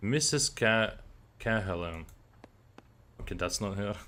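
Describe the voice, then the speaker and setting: A man speaks in a fairly low pitch. His pitch varies in an ordinary way. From Lithuania. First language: Lithuanian. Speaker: gaming streamer. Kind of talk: live gameplay commentary. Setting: live stream.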